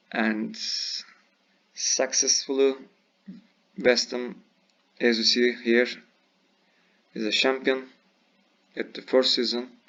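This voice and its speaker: Very slow speech in a non-native accent, with fairly even intonation. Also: man. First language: not English. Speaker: video game youtuber. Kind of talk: gameplay tutorial. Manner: halting.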